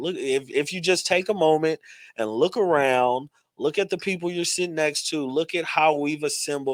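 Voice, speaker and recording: In a strong Texas accent, a man speaks in an animated tone, the sound dry and close with no echo on a very clean recording with a silent background. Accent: heavy Texas. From Texas, Dallas. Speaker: metaverse architect and event host. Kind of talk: panel discussion.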